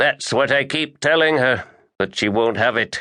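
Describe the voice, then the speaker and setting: In a put-on, growling character voice at a medium pitch, a man speaks at a moderate pace over a quiet background. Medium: read story. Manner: slow-talking, growling.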